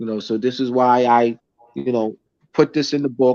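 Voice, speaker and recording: Heard as a dry, close sound with no echo, a man with an American accent talks at a medium pitch with ordinary pitch variation. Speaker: teacher and lecturer. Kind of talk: casual chat; lecture. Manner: halting, many restarts and fillers.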